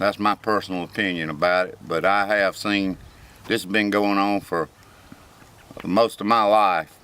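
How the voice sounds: A man with a low pitch talks at a fairly slow pace, his tone clear, smooth and fairly bright, his intonation fairly even.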